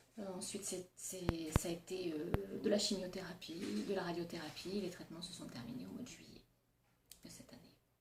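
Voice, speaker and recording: A woman speaks at a moderate pace with a fairly low pitch and vocal fry. Her loudness swings widely while her pitch varies in an ordinary way. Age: 40s. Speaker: nurse and cancer patient. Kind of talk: testimony. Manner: hesitant, many fillers.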